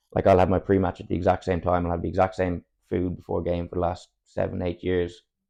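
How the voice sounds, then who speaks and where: A dark, mellow voice with a southern Irish accent rattles along at a very fast pace in flat, monotone intonation. The background is quiet. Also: man, very deep, low pitch for a man. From Ireland, Cork area. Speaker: football player. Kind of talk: casual chat.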